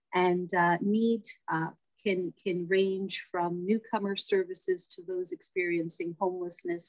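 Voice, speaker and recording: A woman with a Toronto accent speaks in a monotone, flat intonation at a fairly low pitch. Her moderate pace comes through in a dry, close sound with no echo. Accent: Canadian (Toronto). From Toronto, Little Italy. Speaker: community services director. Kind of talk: interview.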